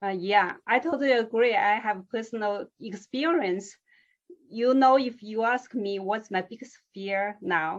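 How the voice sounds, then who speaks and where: With a non-native accent, a woman speaks at a fairly slow pace. Her voice is fairly high, with ordinary pitch variation. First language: not English. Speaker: interviewer. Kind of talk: interview.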